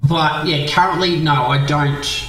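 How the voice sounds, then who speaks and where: A man's monotone, flat delivery with audible room echo and music in the background. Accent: Australian. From Australia, Victoria. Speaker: game streamer. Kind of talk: live stream chat. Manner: halting, many fillers and repeats; quiet while gaming.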